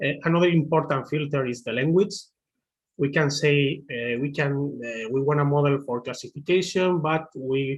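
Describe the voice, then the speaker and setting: A man with a Spanish accent, fairly high pitch, fairly even intonation and a moderate pace, against a quiet background. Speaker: machine learning engineer; presenter. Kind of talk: webinar tutorial. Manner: halting, many fillers. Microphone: video call.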